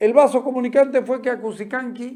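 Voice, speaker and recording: A man is speaking. His pace is moderate. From Santa Cruz, Bolivia. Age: 60s. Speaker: journalist and show host. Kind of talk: opinion commentary monologue.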